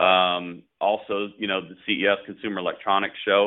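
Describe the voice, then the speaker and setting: This man has a normal speaking voice, pitched fairly low, at a moderate pace. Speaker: business owner. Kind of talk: casual interview. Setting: phone call.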